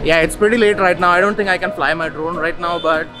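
Clear music plays in the background as a man talks at a fairly quick pace. His pitch is high, and his intonation stays fairly even. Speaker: travel vlogger. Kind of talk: casual vlog chat. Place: street. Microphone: phone near.

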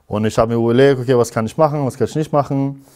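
A man is speaking. The background is quiet. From Iran. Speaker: physics teacher; interviewee, physics teacher. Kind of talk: interview. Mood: calm, reflective. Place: studio.

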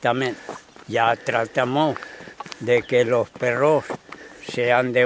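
At a very slow pace, a man talks at medium pitch with monotone, flat intonation. Light background noise is present, and the sound is dry with no echo. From Spain. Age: old. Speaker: retired shepherd. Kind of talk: casual chat. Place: open country.

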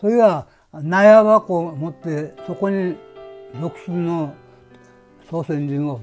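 A man with a Nagasaki accent speaks very slowly at a high pitch, leaving long, frequent pauses. His loudness swings widely, and faint music plays in the background. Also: ordinary pitch variation. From Hashima Island, Nagasaki, Japan. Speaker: former coal miner. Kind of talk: interview answer. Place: home room.

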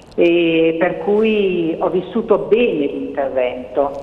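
The woman's voice is fairly low in pitch, with ordinary pitch variation. Noticeable background noise and audible room echo are present. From northern Italy, Cremona. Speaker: doctor. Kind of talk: testimony.

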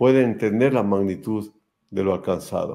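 In a quiet background, a man with a medium pitch and a dark, mellow tone speaks at a fairly slow pace with ordinary pitch variation. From Ecuador. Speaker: show host, sports photographer; interview host. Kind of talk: casual interview chat. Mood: warm, admiring. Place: home room.

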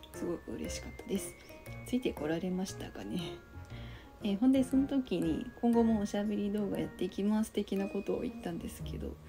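Fairly quick speech from a woman over background music. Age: 20s. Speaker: office worker. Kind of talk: casual talk to camera. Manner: hesitant.

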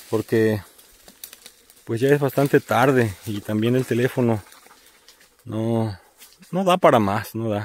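A man speaks at a very slow pace with long, frequent pauses and ordinary pitch variation, the sound dry with no echo. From Veracruz, Mexico. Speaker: vlogger. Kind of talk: outdoor vlog narration. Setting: outdoors. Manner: halting, repetitive. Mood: warm, appreciative. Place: open country. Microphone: phone near.

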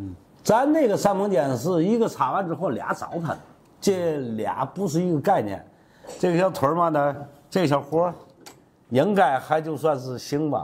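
A man speaks at a moderate pace, leaving long, frequent pauses. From Tianjin, China; China. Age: 60s. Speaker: master carpenter. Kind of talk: tutorial. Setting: workshop. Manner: casual, repetitive. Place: workshop. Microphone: lapel.

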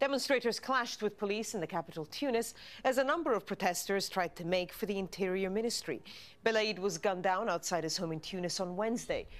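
At a very fast pace, a woman speaks with a medium pitch and ordinary pitch variation. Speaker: news anchor. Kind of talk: news reading: polished, scripted headline bulletin delivered to camera. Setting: studio. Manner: formal, crisp and measured, steady even pace, neutral serious tone. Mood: calm, formal, measured. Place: studio. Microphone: lapel.

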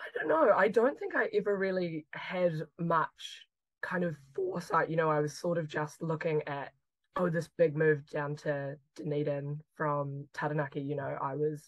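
With a New Zealand accent, a woman speaks at a moderate pace in a very deep, low voice, with a dry sound with no echo and a quiet background. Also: fairly even intonation. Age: 20s. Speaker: chemistry PhD student. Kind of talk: interview conversation. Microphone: video call.

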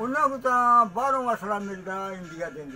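Faint music plays behind a man whose raised, projected voice makes very wide pitch swings. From Punjab, Pakistan. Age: 80s+. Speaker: partition survivor telling his story. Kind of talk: interview answer. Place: shop. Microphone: phone near.

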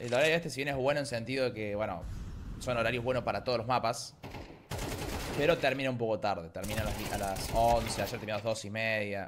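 At a fairly quick pace with ordinary pitch variation, the voice comes through noticeable background noise. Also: man, medium pitch for a man. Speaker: esports commentator and streamer. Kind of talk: live esports play-by-play commentary, rapid-fire and hyped. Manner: informal, slangy, chatty with the audience. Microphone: headset.

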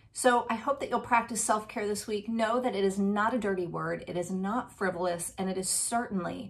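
A woman's somewhat breathy voice sits at a medium pitch. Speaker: resilience speaker. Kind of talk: motivational talk to camera. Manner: upbeat, conversational. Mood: warm, encouraging. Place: home room. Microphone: webcam.

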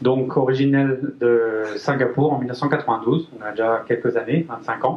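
Very slow and very even in loudness, a man talks with fairly even intonation. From France, Brittany (Guingamp). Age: 30s. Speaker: engineer and company manager. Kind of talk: business presentation. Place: meeting room. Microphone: pa.

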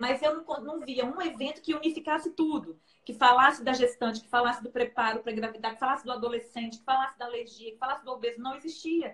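Here a woman speaks at a very fast pace. Her pitch is high. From Brazil. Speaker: nutritionist and researcher. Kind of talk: live-stream interview. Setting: Instagram live video. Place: home room.

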